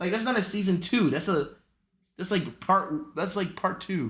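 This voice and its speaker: A man talks at a moderate pace. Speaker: streamer. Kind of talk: casual chat. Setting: home room. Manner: halting; loud.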